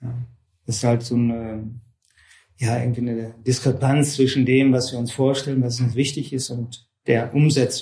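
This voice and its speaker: In a room with audible echo, a man at medium pitch speaks at a moderate pace in a somewhat breathy, dark, mellow tone with monotone, flat intonation. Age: 50s. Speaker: yoga and Vedanta teacher. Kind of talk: lecture. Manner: hesitant, many fillers.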